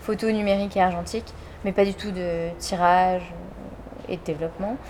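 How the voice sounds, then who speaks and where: The intonation holds fairly even throughout. Behind the voice, background noise is noticeable. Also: woman. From France, village south of Orléans. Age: 30s. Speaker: photographer and artist. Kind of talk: interview. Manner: casual, hesitant with frequent fillers.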